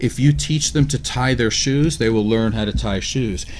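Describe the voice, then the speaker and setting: A man's voice with ordinary pitch variation. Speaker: radio show co-host. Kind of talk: radio talk discussion. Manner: fast.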